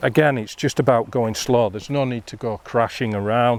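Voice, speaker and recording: An unremarkable speaking voice belongs to this man. He talks at a medium pitch with ordinary pitch variation. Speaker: fly fishing instructor. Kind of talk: outdoor tutorial. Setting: outdoors by a river.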